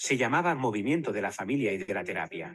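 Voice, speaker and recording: A man talks at a fairly quick pace and medium pitch. Vocal fry runs through his voice. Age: 80s+. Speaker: family therapist. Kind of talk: conference presentation.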